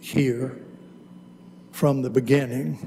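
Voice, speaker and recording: A man with a North Carolina accent speaks at a fairly high pitch, his pitch moving with ordinary variation. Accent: Southern US, North Carolina. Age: 70s. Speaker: retired lawyer, public commenter. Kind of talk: public comment.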